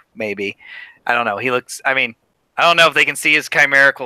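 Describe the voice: Read aloud plainly with lively intonation, over a quiet background.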